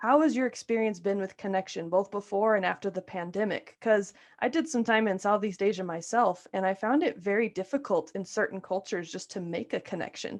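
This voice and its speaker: A woman with an American accent talks at a fairly quick pace over a quiet background. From New Mexico, US. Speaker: podcast host and coach. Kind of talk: podcast interview.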